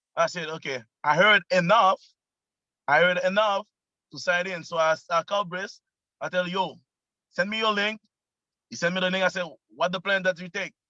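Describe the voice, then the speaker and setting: With a Quebec accent, a man speaks in a high-pitched, bright, sharp tone at a moderate pace, leaving long, frequent pauses, in a dry, close sound with no echo. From Quebec, Canada. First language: French. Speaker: network marketing member. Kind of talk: casual testimony on video call. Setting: video call, parked in car. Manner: animated.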